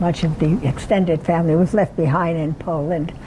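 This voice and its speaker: Over noticeable background noise, a woman talks at a fairly low pitch. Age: 80s+. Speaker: retirement community resident telling life story. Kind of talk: life story talk. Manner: halting.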